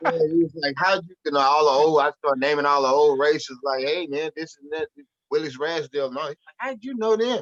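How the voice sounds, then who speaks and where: Fairly quick, fairly high-pitched speech from a man, with big swings in loudness, ordinary pitch variation, and a dry, close sound with no echo. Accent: American. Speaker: rapper. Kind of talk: casual interview conversation. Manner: animated storytelling.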